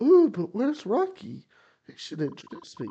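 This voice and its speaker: A man uses a put-on character voice at an extremely high pitch. His pitch swings very widely at a moderate pace. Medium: game stream. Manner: boastful, breezy.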